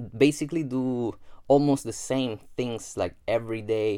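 Speaking in a dark, mellow tone, a man talks with a Spanish accent. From Gran Canaria, Spain. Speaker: self-development podcaster. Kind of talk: solo podcast monologue. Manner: casual, with frequent fillers and repetitions.

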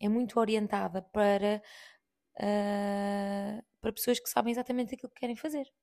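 On a very clean recording with a silent background, a woman with a dark, mellow tone speaks at a moderate pace, her intonation fairly even and her loudness swinging widely. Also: medium pitch for a woman. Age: 30s. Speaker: podcast host. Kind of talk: casual monologue.

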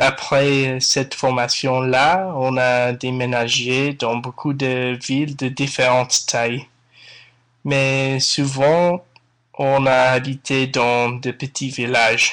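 A man with an English accent speaks at a very slow pace and a medium pitch, his intonation monotone and flat, against a quiet background. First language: English (speaking French). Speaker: podcast listener, French learner. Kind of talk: recorded listener testimony.

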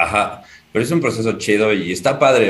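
In an ordinary speaking voice, a man talks at a moderate pace and a fairly low pitch, with ordinary pitch variation. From Mexico City. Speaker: aspiring stand-up comedian. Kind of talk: casual chat.

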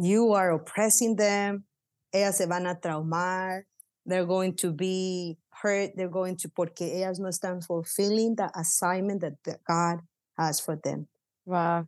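In a Spanish accent, the speaker goes very slowly in a monotone, flat delivery, the sound dry and close with no echo against a quiet background. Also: woman, medium pitch for a woman. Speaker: pastor. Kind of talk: casual interview, Spanish-English code-switching. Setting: office, remote recording.

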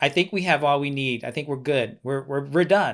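In a very clean recording with a silent background, a man talks at a fairly high pitch in a normal speaking voice. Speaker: oral historian and educator. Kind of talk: interview.

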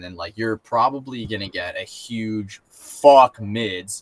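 This is a man with an unremarkable speaking voice. His pitch is medium, with ordinary variation. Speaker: podcast co-host. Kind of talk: casual chat.

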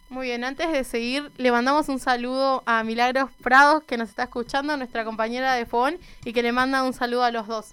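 With music in the background, a woman speaks in a high, monotone, flat voice at a fairly quick pace with hardly any pauses. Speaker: youth radio host. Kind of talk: casual radio show.

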